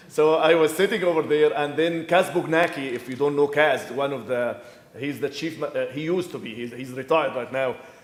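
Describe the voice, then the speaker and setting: A man with a fairly high pitch and ordinary pitch variation speaks fairly quickly amid noticeable background noise. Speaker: professor and structural engineer. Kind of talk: conference presentation. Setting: conference room with audience, no microphone. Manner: loud; halting, many repetitions.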